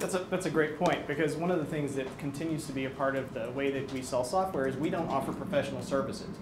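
The talking runs at a very fast pace with hardly any pauses. Noticeable background noise sits behind it. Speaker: technical product evangelist. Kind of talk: product presentation. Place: meeting room.

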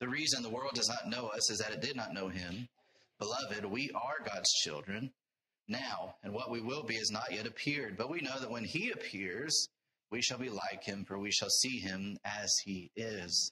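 Ordinary pitch variation marks this man's speech. He keeps a moderate pace. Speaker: preacher. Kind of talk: sermon. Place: church. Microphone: lapel.

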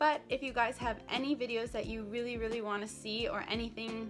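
Clear background music behind a woman's fairly quick pace. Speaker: dental student vlogger. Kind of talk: casual vlog chat. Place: home room. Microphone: phone near.

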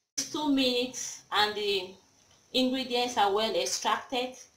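A woman talks at a fairly slow pace with ordinary pitch variation, and audible room echo surrounds her voice. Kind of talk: tutorial. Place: kitchen. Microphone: phone near.

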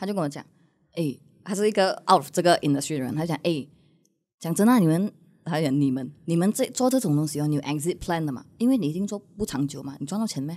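Speaking at a very fast pace, a woman has a dark, mellow tone and lively intonation. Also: fairly low pitch for a woman. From Malaysia. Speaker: content creator. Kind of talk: casual chat. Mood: candid, reflective storytelling. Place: studio. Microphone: studio mic.

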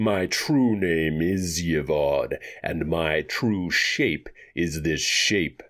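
In a put-on character voice, a man speaks very slowly with a very deep, low pitch, a husky sound and a hissing quality.

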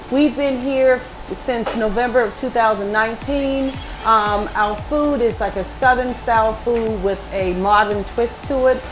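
Faint music plays in the background as a woman speaks at a fairly slow pace in a high pitch. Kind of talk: interview answer. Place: cafe.

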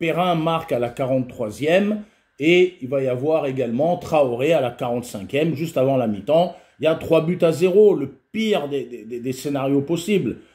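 Lively intonation and a dark, mellow tone, somewhat breathy, at a fairly slow pace against a quiet background. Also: man, fairly high pitch for a man. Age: 50s. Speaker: football video commentator and youth football coach; football video commentator, youth football coach. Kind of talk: casual solo video commentary. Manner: halting, frequent repetitions and fillers. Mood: frustrated, critical. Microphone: webcam.

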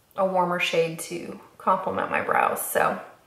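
A woman talks at a moderate pace, with audible room echo. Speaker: beauty vlogger. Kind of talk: makeup tutorial chat. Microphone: camera far.

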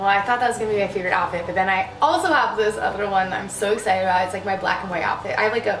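With light background noise and audible room echo, a woman speaks at a very fast pace with hardly any pauses and ordinary pitch variation. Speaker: fashion vlogger. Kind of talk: casual try-on haul chat. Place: home room. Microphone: camera far.

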